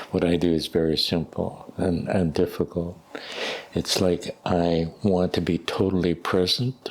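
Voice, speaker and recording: Against noticeable background noise, a man with a very deep, low pitch speaks at a fairly slow pace, keeping his intonation fairly even and his loudness very even. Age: 80s+. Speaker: therapist. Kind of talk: interview answer.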